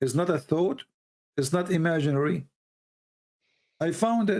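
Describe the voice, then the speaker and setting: A man speaks with an Arabic accent at a fairly high pitch. His intonation is lively. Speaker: religious debate host. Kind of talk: heated debate. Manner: animated; halting.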